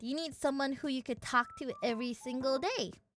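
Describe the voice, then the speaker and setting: With music in the background, a woman speaks in an animated tone at a high pitch with an Indonesian accent. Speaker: virtual streamer. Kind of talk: casual chat.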